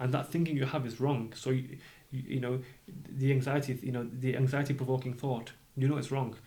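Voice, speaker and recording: A man speaks at a fairly quick pace and medium pitch, with a dark, mellow tone that is somewhat breathy. His intonation is monotone and flat, and audible room echo surrounds him. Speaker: doctor and entrepreneur. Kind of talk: podcast interview. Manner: halting, repeats words.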